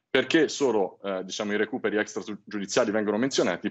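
A man speaks at a fairly low pitch with ordinary pitch variation. The background is quiet. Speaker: credit company executive. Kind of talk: TV interview. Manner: formal. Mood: calm explanatory. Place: home room. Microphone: video call.

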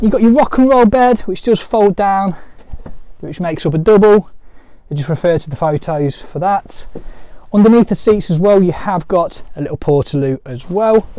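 A high-pitched man's voice with a dark, mellow tone, lively intonation and a moderate pace.

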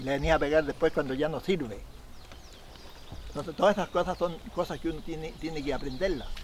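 Talking at a fairly quick pace, a man with a Chilean accent has a fairly high pitch over light background noise. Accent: rural Chilean Spanish. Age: 70s. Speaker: Chilean horse trainer and rodeo rider. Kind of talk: documentary interview, storytelling. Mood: animated, gesturing storyteller. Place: open country.

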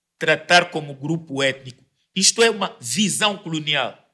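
The tone is bright and sharp, the pace fairly slow, and the background quiet. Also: man. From Angola. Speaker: debate panelist; panelist. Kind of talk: debate. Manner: halting. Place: studio. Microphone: studio mic.

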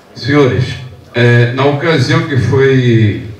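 A man speaks with fairly even intonation. The room echo is audible, with light background noise. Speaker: audience member, public servant; audience member. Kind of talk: audience comment. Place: classroom.

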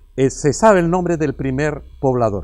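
Here a man with a Canarian accent talks at a fairly high pitch. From La Guancha, Tenerife. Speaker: teacher and former councillor. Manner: halting, repeats words.

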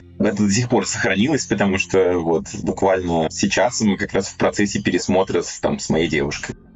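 With music in the background, a man speaks at a moderate pace with hardly any pauses and ordinary pitch variation. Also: fairly low pitch for a man. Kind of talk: casual chat. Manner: animated.

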